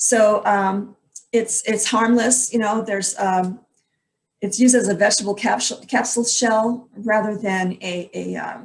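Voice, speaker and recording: Intonation remains fairly even throughout. The delivery carries a somewhat breathy quality. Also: woman. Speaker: health educator presenting supplement ingredients. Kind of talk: online presentation. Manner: fast.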